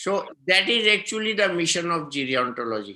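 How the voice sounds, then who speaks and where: The recording is very clean, with a silent background. A man with a high pitch, very wide pitch swings and a bright, sharp tone speaks at a moderate pace. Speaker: physician. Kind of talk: interview.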